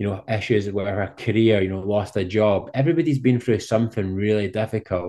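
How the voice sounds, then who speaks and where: In a Scottish accent, a dark, mellow voice moves at a moderate pace with fairly even intonation over a quiet background. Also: man. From Scotland. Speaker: professional cyclist and speaker. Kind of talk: interview.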